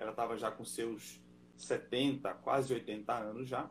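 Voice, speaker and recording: At a very slow pace, a man talks in a medium pitch marked by vocal fry. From northern Brazil, Belém do Pará. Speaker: missionary pastor. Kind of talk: live video interview.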